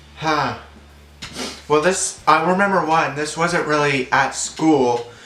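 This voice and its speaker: With audible room echo, a man speaks very slowly at a fairly high pitch with fairly even intonation. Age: 20s. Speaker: vlogger. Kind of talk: casual chat.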